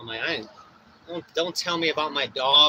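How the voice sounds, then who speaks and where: Animated in tone, a man speaks at a fairly quick pace over noticeable background noise. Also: dry, close sound with no echo. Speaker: DJ and livestreamer. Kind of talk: casual livestream chat. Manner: loud.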